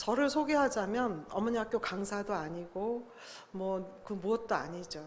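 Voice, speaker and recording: Audible room echo around a woman at medium pitch, with lively intonation and a fairly slow pace. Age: 60s. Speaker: lay Bible study speaker. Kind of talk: church talk to congregation.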